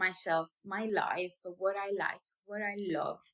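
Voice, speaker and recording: A woman speaks with an Italian accent. Her pace is very slow. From Italy, small town. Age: 30s. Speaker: vlogger and small business owner. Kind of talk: personal vlog introduction. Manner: hesitant, with fillers.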